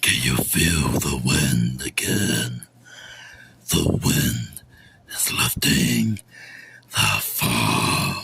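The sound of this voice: Putting on a character voice, a man speaks very slowly in a raspy, very deep, low pitch.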